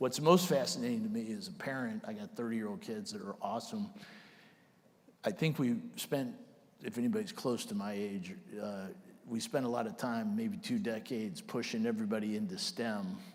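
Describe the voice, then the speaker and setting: Amid audible room echo, a man of medium pitch talks at a fairly quick pace with very wide pitch swings. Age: 60s. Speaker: army general. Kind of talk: onstage interview.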